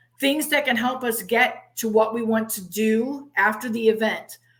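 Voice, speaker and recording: A woman with a plain, everyday voice speaks in a fairly high pitch, with ordinary pitch variation. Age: 60s. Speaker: conference MC and interviewer. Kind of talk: interview.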